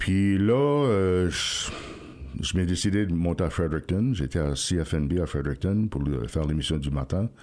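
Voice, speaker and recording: The man's voice is very deep and low, with ordinary pitch variation. His loudness stays very even. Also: moderate pace. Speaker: radio host. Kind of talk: interview. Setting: radio studio.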